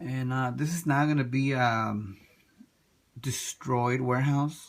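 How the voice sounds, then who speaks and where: A man speaks softly, his intonation fairly even. The recording is very clean, with a silent background. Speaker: toy diorama hobbyist. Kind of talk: tutorial. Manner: soft-spoken; halting.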